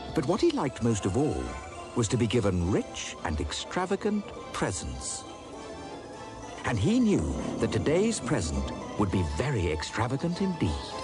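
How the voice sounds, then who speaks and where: Over music in the background, a man speaks at a moderate pace and very even loudness, leaving long, frequent pauses. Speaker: narrator. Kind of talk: read story narration.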